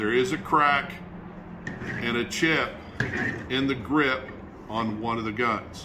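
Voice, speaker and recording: Amid noticeable background noise, a man speaks at a very slow pace with long, frequent pauses. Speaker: auctioneer. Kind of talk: product showcase video. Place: shop.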